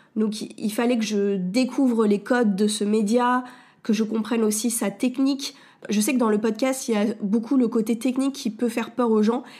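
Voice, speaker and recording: The woman's tone is dark and mellow. There is a somewhat breathy quality to how she speaks. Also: fairly high pitch for a woman, fairly even intonation, moderate pace. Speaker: podcast host and wellness coach. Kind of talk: solo podcast monologue. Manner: hesitant, many fillers.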